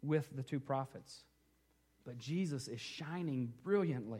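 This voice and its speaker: Slow-paced and somewhat breathy, a man speaks at a fairly high pitch with ordinary variation and a dark, mellow tone in a very clean recording with a silent background. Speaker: pastor. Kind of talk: sermon.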